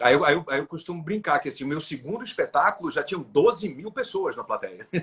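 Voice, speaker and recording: A man speaks at a moderate pace. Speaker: comedian. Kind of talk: interview. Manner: halting.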